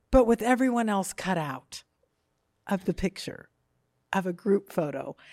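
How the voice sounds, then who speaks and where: With an animated tone and lively intonation, a woman at medium pitch talks with long, frequent pauses, and the sound is dry and close with no echo. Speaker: comedian. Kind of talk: storytelling. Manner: fast.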